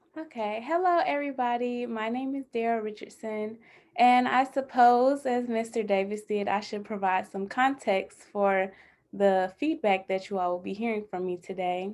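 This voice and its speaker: In an American accent, a woman talks at a moderate pace with fairly high pitch and ordinary pitch variation, a plain, everyday voice on a very clean recording with a silent background. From Atlanta, Georgia, US South. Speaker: emerging bioethics scholar. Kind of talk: panel introduction.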